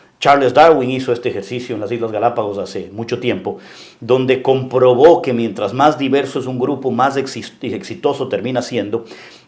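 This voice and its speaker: A man talks at a moderate pace and a medium pitch, with ordinary pitch variation over noticeable background noise. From Ecuador, coastal (Guayaquil). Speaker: local politician and businessman. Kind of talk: interview. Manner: halting.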